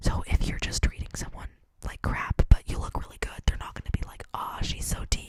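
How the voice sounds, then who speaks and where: Whispering at a fairly quick pace over noticeable background noise. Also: woman. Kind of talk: ASMR whisper ramble to camera. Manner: whispered, clicky, intimate; casual, chatty, conversational.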